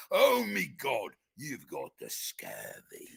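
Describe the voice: In a put-on character voice with a Scottish accent, the speaker talks very slowly at an extremely high pitch.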